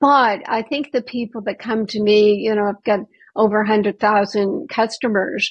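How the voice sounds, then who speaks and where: A woman speaks at a moderate pace in a fairly high, somewhat breathy voice. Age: 70s. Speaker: medical doctor and naturopath. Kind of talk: interview.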